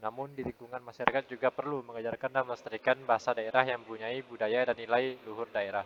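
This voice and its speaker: Over noticeable background noise, a man with a medium pitch talks very fast in a flat monotone. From Indonesia, Pontianak, West Kalimantan. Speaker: university student. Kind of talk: class presentation.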